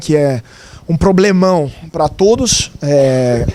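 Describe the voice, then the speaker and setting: A man speaks with an Italian accent. His pitch is fairly high, with ordinary variation. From Italy. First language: Italian (speaking Portuguese). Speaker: journalist. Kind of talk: lecture.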